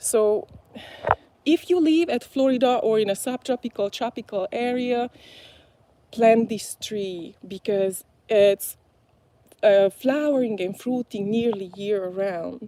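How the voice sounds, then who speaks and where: A woman's very slow speech in a fairly high pitch with a dark, mellow tone and long, frequent pauses. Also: ordinary pitch variation. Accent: Hungarian. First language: Hungarian. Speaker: gardening vlogger. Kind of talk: live stream garden tour. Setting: outdoors in garden. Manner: hesitant, many fillers.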